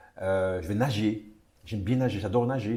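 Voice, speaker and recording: This man's voice sits fairly low in pitch. Its tone is dark and mellow, and somewhat breathy. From Martinique. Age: 60s. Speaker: retired tourism official. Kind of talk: interview. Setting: at home. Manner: halting, many repetitions.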